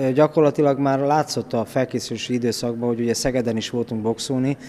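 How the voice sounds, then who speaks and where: With fairly even intonation, a man talks against light background noise. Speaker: boxing coach. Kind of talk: interview. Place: gym. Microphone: handheld.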